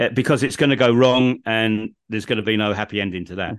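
This man speaks with a southern English accent. His pitch is medium and his pace very fast. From England, home counties. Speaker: podcast host, guest expert. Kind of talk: casual interview.

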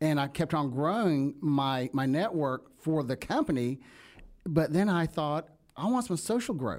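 A man with a Southern US accent, fairly high in pitch, at a fairly slow pace with lively intonation and very even loudness, in a very clean recording with a silent background. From US South. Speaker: networking founder and speaker. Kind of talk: casual interview chat.

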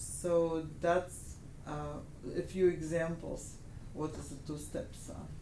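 A woman with a Russian accent at a very slow pace, big swings in loudness and audible room echo. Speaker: natural medicine doctor. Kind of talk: interview. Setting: in her office.

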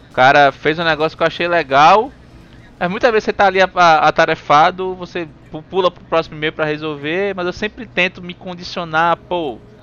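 A man's high-pitched voice at a moderate pace, ordinary pitch variation, music in the background. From Recife, Brazil. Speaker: podcast host. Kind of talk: casual chat.

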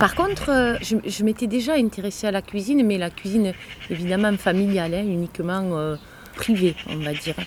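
Noticeable background noise sits under a woman speaking at medium pitch and a moderate pace with ordinary pitch variation. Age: 60s. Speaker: chef and cooking trainer. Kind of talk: interview.

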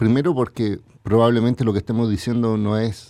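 A man with a dark, mellow tone speaks at a moderate pace. The background is quiet. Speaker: lawyer and former telecom undersecretary, tech commentator. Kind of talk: radio interview, explanatory.

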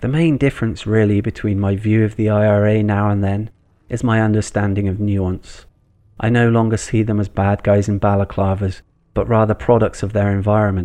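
In a West Country accent, a man speaks at a fairly quick pace with a fairly low pitch and a dark, mellow tone. His intonation is monotone and flat, and the background is quiet. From Bristol, England. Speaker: podcast host. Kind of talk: scripted narration.

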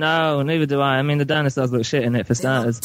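The speech comes at a very fast pace with very even loudness. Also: man, fairly high pitch for a man. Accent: northern English. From Carlisle, northern England near the Scottish border. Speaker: podcast caller.

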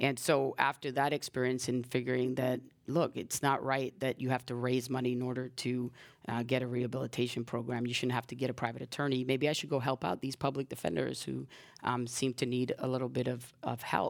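A woman talks at a fairly quick pace with a very deep, low pitch. Her intonation is monotone and flat. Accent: American. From New York, South Bronx. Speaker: public defender running for judge. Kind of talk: interview. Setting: stage with audience.

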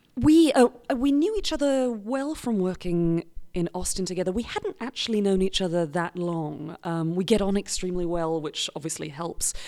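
A woman speaks in a British accent with lively intonation. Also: medium pitch for a woman, moderate pace. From Britain. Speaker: improv performer. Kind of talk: podcast interview.

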